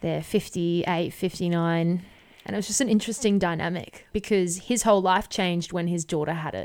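Over a silent background in a very clean recording, a woman with an Australian accent speaks at a fairly quick pace, her fairly low pitch showing ordinary variation. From Brisbane, Australia. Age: 20s. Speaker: podcast host. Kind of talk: casual interview.

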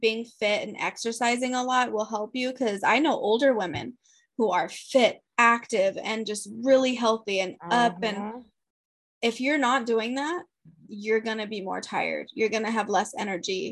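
Pitched fairly high, a woman uses an ordinary speaking voice with ordinary pitch variation. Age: 30s. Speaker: podcast co-host, mother. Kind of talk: casual chat.

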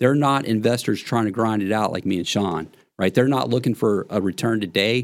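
A man with an American accent, a normal speaking voice, fairly low pitch, ordinary pitch variation and a fairly quick pace, on a very clean recording with a silent background. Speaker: real estate investor. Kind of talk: casual chat.

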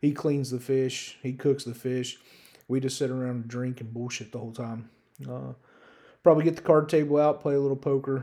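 A man with a medium pitch and a dark, mellow tone speaks in a flat monotone at a fairly quick pace, his loudness swinging widely. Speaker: solo sports betting podcaster. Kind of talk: casual monologue. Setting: solo podcast recording. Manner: hesitant with many fillers.

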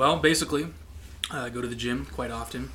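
A man at a very fast pace, with audible room echo. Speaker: podcast guest. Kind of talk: casual chat.

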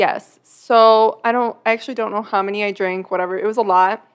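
A woman with a normal speaking voice talks at a moderate pace, medium in pitch with ordinary pitch variation. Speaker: podcast host. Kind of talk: casual chat.

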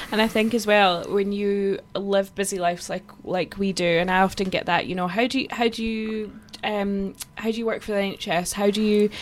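In a Scottish Borders accent, a woman with a medium pitch speaks in a monotone, flat manner. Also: moderate pace. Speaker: podcast co-host. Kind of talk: casual chat.

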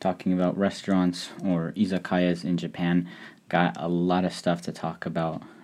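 A man speaks at a moderate pace in a very deep, low pitch, with fairly even intonation. The recording is very clean and the background silent. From Hungary. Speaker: podcast host. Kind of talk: solo podcast monologue. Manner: frequent fillers and hesitations.

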